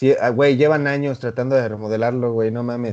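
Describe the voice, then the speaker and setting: A man speaks with a Mexican accent at a medium pitch. His tone is dark and mellow. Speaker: podcast co-host. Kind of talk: casual chat.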